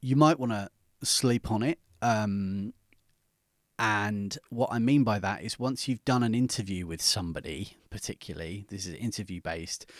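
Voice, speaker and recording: A man's fairly low voice with a British accent, moderate pace and ordinary pitch variation. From Britain. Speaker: podcast coach. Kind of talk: tutorial. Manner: conversational, with fillers.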